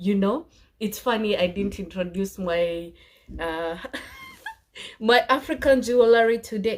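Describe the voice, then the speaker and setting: At a moderate pace, a woman of medium pitch speaks in an ordinary speaking voice. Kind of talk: casual talk to camera.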